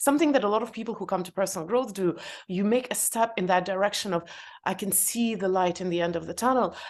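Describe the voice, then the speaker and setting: A woman talks at a very fast pace with a non-native accent. Her pitch varies in an ordinary way. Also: medium pitch for a woman, quiet background. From former Soviet Union. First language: not English (third language). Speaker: entrepreneur and author. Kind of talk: podcast interview. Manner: hesitant, many fillers.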